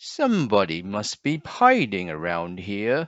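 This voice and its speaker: A man uses a put-on character voice at a fairly low pitch. He talks at a fairly slow pace with lively intonation. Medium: read story.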